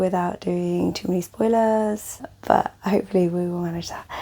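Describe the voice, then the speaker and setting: A woman's voice over noticeable background noise. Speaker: book vlogger. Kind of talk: casual vlog talk.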